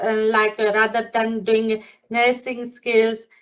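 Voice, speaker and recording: A woman's high voice moves along at a fairly slow pace. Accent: non-native. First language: not English. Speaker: nursing associate. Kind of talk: career testimony. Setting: live online event. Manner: halting, many fillers.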